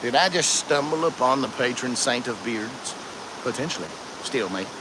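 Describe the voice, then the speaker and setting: Against noticeable background noise, a man with an Appalachian accent speaks at a fairly high pitch with ordinary pitch variation. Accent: Appalachian Southern US. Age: 40s. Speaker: outdoor live streamer. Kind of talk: casual live stream chat. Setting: outdoors by a creek. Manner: fast.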